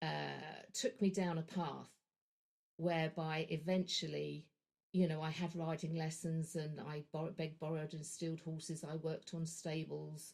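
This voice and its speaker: A woman's fairly low-pitched voice with a London accent, at a fairly slow pace. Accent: southern English (London). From London, England. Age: 60s. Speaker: energy practitioner / horse trainer. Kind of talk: podcast interview. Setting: podcast.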